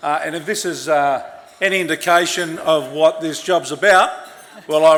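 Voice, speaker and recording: Amid noticeable background noise, a man with an Australian accent speaks at a moderate pace, fairly high in pitch, with monotone, flat intonation. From Sydney, Australia. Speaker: politician. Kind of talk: speech at awards event. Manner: halting.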